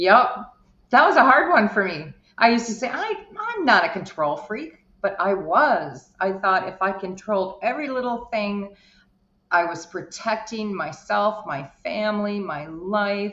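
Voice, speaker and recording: An unremarkable speaking voice, fairly slow, with lively intonation. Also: woman, medium pitch for a woman. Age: 60s. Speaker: life coach. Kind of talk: interview.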